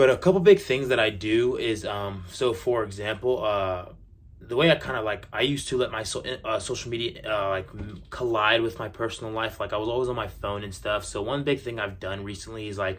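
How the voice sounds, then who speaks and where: A man with an American accent talks at a fairly quick pace. His voice is somewhat breathy. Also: medium pitch for a man, ordinary pitch variation. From USA, raised by Middle Eastern parents. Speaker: social media influencer. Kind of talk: casual vlog Q&A. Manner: casual with many fillers.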